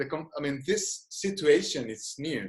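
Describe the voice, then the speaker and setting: Speaking at a fairly slow pace, a man talks with a Spanish accent. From Spain. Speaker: psychologist and gestalt therapist. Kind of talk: webinar lecture and Q&A. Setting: video call. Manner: halting, many restarts.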